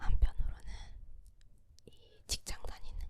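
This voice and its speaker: A very slow whisper. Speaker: ASMR creator, office worker. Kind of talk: whispered ASMR chat. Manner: whispered.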